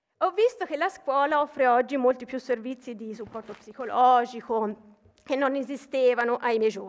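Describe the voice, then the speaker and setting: A woman speaks at a high pitch and a moderate pace, her loudness swinging widely while her pitch varies in an ordinary way. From Tuscany, Pistoia; Tuscany. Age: 40s. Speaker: mathematics professor and university vice president; mathematics professor. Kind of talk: ceremonial speech. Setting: stage with audience. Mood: warm, formal, slightly personal. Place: hall. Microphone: podium.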